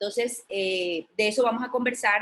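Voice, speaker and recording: With fairly even intonation, a woman talks in a fairly high pitch. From Colombia. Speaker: journalist. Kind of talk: lecture. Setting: video call. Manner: hesitant with fillers.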